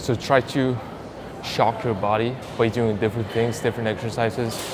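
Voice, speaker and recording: Over noticeable background noise and audible room echo, a man with a non-native accent talks at a moderate pace, medium in pitch and monotone and flat in intonation. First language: not English. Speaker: fitness youtuber. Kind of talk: workout tutorial. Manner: casual, conversational.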